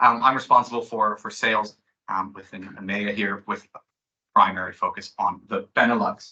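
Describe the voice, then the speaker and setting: A man with an American accent at a moderate pace. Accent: sounds American. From Belgium. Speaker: sales manager. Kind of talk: presentation.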